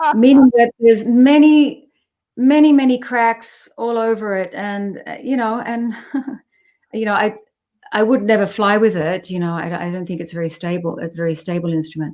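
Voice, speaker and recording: Speaking at a moderate pace, a woman with an Australian accent has a dark, mellow tone. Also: fairly high pitch for a woman, lively intonation. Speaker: jazz bassist. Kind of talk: interview conversation.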